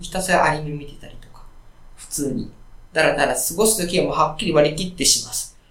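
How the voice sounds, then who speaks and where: Amid noticeable background noise and audible room echo, a man speaks at a very fast pace with big swings in loudness and ordinary pitch variation. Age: 40s. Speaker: indie smartphone game developer. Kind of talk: interview. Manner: frequent filler words.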